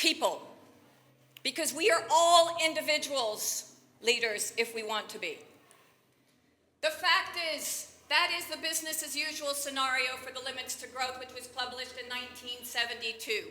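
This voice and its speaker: A woman with an American accent and a high pitch speaks in a raised, projected voice at a moderate pace, with ordinary pitch variation and big swings in loudness. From Belgium. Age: 50s. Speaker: president of a think tank, keynote speaker. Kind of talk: keynote speech. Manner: animated.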